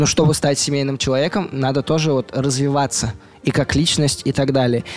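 A man's fairly high-pitched, fairly quick delivery in an ordinary speaking voice. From Russia, Mari El (Volzhsk). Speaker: youth movement organizer. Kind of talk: interview.

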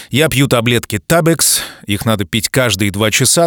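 With lively intonation, a man speaks at a medium pitch in a dry, close sound with no echo. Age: 40s. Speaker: podcast host. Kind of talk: casual monologue. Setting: studio. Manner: animated.

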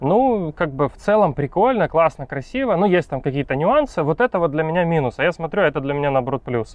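A man talks at a very fast pace with hardly any pauses. His fairly high voice moves through very wide pitch swings. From Ukraine. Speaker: photographer and refugee immigrant. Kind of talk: casual interview.

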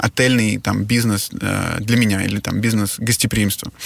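In an unremarkable speaking voice, someone talks at a moderate pace with fairly even intonation. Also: man. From Russia. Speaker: hotel entrepreneur. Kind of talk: interview.

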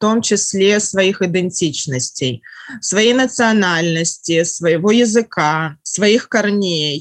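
Speaking very slowly, a woman keeps ordinary pitch variation. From Russia. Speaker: writer. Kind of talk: casual chat.

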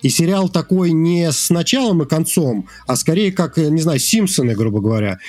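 The pitch of this man's voice is high. He talks at a moderate pace. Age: 40s. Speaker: indie game developer. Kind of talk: casual chat.

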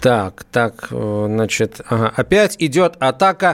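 A man with lively intonation. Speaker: radio host. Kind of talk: live radio talk. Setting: studio. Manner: animated.

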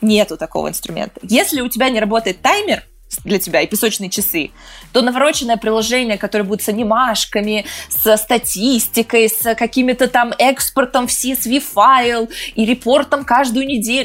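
At a moderate pace and fairly high pitch, a woman with a plain, everyday voice speaks with ordinary pitch variation. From Moscow region, Russia. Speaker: entrepreneur and author. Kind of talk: casual interview.

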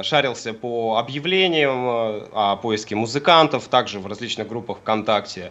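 A very slow-paced man amid noticeable background noise. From Siberia, Kemerovo. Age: 20s. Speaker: rock musician and physics student. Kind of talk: radio interview. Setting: Skype call.

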